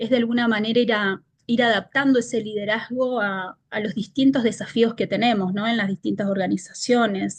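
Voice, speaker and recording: At a moderate pace with hardly any pauses, a woman talks in a somewhat breathy, fairly high voice. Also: fairly even intonation. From Argentina. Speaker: leadership consultant. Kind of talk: interview.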